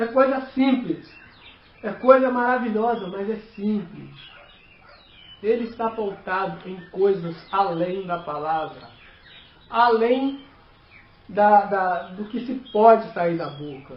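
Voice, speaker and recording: Pausing long and often, a man speaks at a very slow pace in a high pitch with ordinary pitch variation and big swings in loudness. Audible room echo and noticeable background noise fill the recording. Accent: non-native. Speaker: lay preacher. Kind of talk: sermon. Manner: halting.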